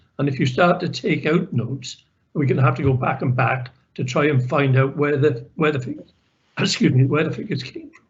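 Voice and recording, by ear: A man talks in a put-on character voice that is hoarse and fairly high. His pace is fairly quick.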